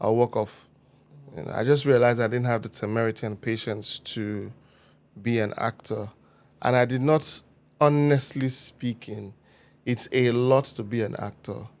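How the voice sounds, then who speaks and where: On a very clean recording with a silent background, a man of medium pitch talks at a moderate pace with fairly even intonation and long, frequent pauses. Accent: Niger Delta. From Nigeria, Warri, Delta State. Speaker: producer and event host. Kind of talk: podcast interview. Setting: studio.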